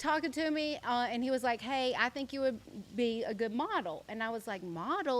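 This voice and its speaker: A woman with an American accent, high-pitched, her pitch swinging very widely. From US South (South Carolina). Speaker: social media influencer and model. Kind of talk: podcast interview. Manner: casual, many fillers (like, um).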